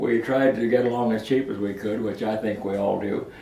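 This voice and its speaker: The intonation stays fairly even, and audible room echo surrounds the voice. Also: man. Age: 90s. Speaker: elderly father recalling his working life. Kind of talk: oral history interview. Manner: halting, with many fillers and repeats.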